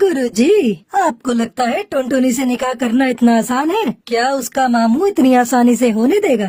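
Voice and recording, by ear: Speaking in a cartoonish character voice, a female-sounding speaker uses a fairly high pitch at a fairly slow pace with hardly any pauses.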